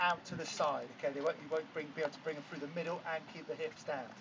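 Over noticeable background noise, this man speaks fairly quickly. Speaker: fitness coach. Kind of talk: workout instruction. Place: beach. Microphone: camera far.

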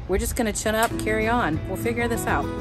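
A woman talks at a fairly quick pace. Clear music plays in the background, and the sound is dry with no echo. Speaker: RV traveler vlogger. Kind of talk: casual vlog chat. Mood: frustrated but upbeat. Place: open country. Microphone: phone near.

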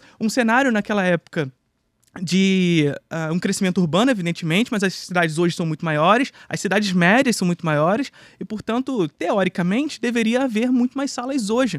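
A high-pitched man at a fairly quick pace with lively intonation, in a quiet background with a dry sound and no echo. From Brazil. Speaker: film and history teacher; history teacher. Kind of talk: casual chat. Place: studio. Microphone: studio mic.

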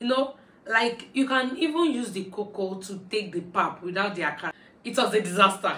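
A woman speaks at a moderate pace with audible room echo. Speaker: vlogger. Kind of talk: casual storytime vlog chat. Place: home room.

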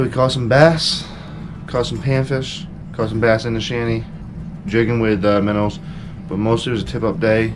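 With noticeable background noise behind him, a man talks at a fairly quick pace with ordinary pitch variation. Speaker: fishing vlogger. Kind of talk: casual vlog chat. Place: home room. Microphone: phone near.

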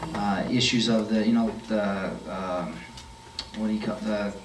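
A man speaks with a monotone, flat intonation. Audible room echo and light background noise are present. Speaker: candidate. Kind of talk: interview answer. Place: meeting room.

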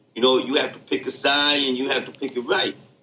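A man's fairly high voice races at a very fast pace with noticeable background noise. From the Bronx, New York. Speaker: podcast co-host, former inmate. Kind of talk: casual chat. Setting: remote recording.

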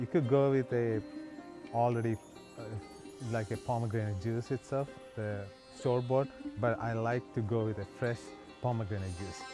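Over clear background music, the speech moves at a moderate pace with fairly even intonation, long and frequent pauses, and a dry sound with no echo. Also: man. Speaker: cooking channel host. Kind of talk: tutorial. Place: garden.

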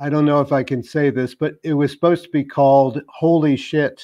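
With a quiet background behind him, a man with an American accent and a dark, mellow tone talks at a fairly quick pace in monotone, flat intonation. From US city. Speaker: biospherian and wastewater ecologist; panelist. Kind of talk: online panel Q&A. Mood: reflective, some humour. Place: home room. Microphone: video call.

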